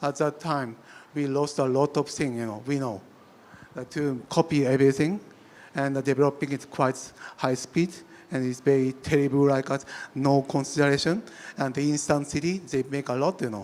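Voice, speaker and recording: A man with a Japanese accent speaks with long, frequent pauses. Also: fairly high pitch for a man, fairly even intonation, moderate pace. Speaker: architect. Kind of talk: panel discussion. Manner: halting, many fillers and restarts.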